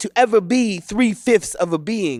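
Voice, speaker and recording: The speech moves at a moderate pace with ordinary pitch variation, in a very clean recording with a silent background and a dry, close sound with no echo. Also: man. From Washington DC area. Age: 30s. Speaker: poet. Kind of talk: poetry reading.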